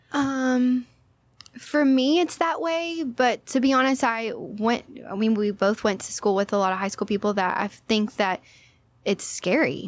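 A woman's normal speaking voice with an American accent, fairly high in pitch, with lively intonation at a fairly slow pace, on a very clean recording over a silent background. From Texas, Orange (southeast Texas). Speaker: yoga instructor. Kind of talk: casual chat.

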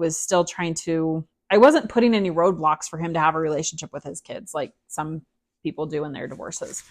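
An unremarkable speaking voice, a woman with an American accent, fairly low in pitch, with ordinary pitch variation, big swings in loudness and a moderate pace, over a quiet background. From Utah, US. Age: 40s. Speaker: divorced mother sharing her story. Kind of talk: interview.

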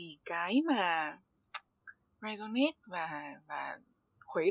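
Her pitch swings very widely. The woman's voice sits at a medium pitch. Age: 20s. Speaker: podcast host, university student. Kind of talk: interview conversation.

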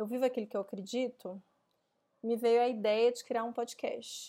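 A woman's fairly high voice with a dark, mellow tone, at a moderate pace, in a very clean recording with a silent background. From Minas Gerais, Brazil (Belo Horizonte). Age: 30s. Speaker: podcast host, co-founder of a gender equality company. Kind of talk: solo podcast monologue.

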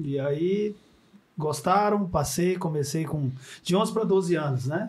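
Delivered at a fairly slow pace, a man's voice is an unremarkable speaking voice with ordinary pitch variation. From Minas Gerais, Triângulo Mineiro. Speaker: former footballer and coach. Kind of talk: casual chat.

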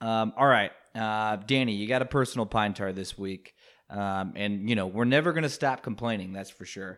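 On a very clean recording with a silent background, a man talks in an ordinary speaking voice, fairly low in pitch, at a moderate pace, with ordinary pitch variation and big swings in loudness. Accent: American. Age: 20s. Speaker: podcast co-host. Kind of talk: casual chat.

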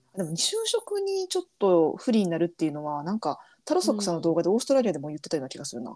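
Speaking very fast, a woman has a fairly low pitch and a dark, mellow tone. Her pitch swings very widely, and her loudness changes a lot. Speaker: podcast co-host. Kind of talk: casual chat.

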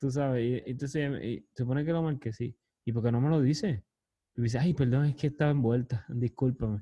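The man speaks at a moderate pace with a medium pitch. His intonation stays fairly even. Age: 30s. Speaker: podcast host. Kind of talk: casual chat.

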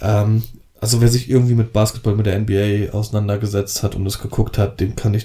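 The tone is dark and mellow, somewhat breathy. Intonation stays monotone and flat. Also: man. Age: 30s. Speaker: wedding photographer and podcast co-host. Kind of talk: casual chat.

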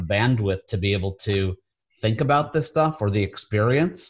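At a moderate pace, a man speaks in a fairly low, somewhat breathy voice on a very clean recording with a silent background. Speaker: podcast host. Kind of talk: interview. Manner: enthusiastic.

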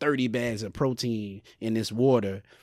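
This man talks at a moderate pace with a medium pitch and fairly even intonation. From US South, Sumter, South Carolina. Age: 30s. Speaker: podcaster. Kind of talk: casual chat.

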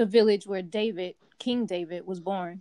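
This woman has an ordinary speaking voice at a medium pitch. She keeps a moderate pace and fairly even intonation. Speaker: co-host bible study participant. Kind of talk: bible study discussion.

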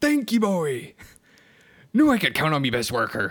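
The voice is a gruff put-on character voice at a middle pitch and a moderate pace. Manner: gruff, grateful.

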